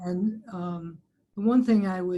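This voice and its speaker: At a fairly slow pace, a woman talks in a medium pitch with ordinary pitch variation. Her voice is somewhat breathy, with a dark, mellow tone. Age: 60s. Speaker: physician on society finance committee. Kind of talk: webinar panel discussion.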